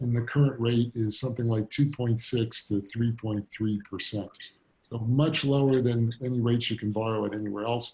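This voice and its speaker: His voice somewhat breathy, a man talks at a moderate pace in a monotone with flat intonation. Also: medium pitch for a man. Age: 60s. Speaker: fintech company founder and CEO. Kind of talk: fireside chat interview.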